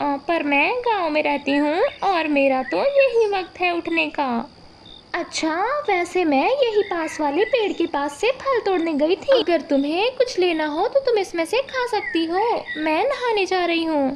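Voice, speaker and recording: A woman's cartoonish character voice, extremely high in pitch, over clear background noise. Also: moderate pace, hardly any pauses. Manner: calm, earnest.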